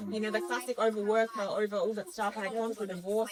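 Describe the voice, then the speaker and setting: A woman's fairly high-pitched voice amid noticeable background noise. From Romania until age eight, then raised abroad. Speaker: relationship coach. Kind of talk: podcast interview. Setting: indoors after moving in from the rain.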